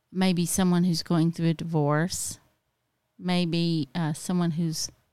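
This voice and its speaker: With a Southern US accent, a woman with a fairly low pitch speaks at a very slow pace in monotone, flat intonation, on a very clean recording with a silent background. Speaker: podcast co-host. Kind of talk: casual chat. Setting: home garage studio.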